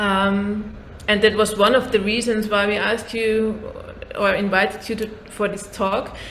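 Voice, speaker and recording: A woman talks at a fairly high pitch, her voice carrying audible room echo over noticeable background noise. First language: not English. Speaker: podcast host, therapist. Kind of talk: casual interview conversation. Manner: halting.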